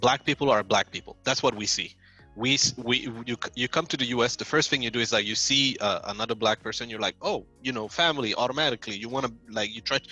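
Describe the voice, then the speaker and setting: Music plays behind a man speaking at a very fast pace. His pitch is medium with ordinary variation, and the sound is dry and close with no echo. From Saudi Arabia. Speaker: software engineer. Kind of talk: interview answer.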